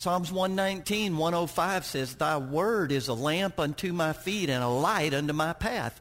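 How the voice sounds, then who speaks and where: The speech moves at a moderate pace with ordinary pitch variation and very even loudness. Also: man, fairly high pitch for a man. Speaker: guest preacher. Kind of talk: sermon. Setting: church with congregation. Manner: loud, hollering when excited.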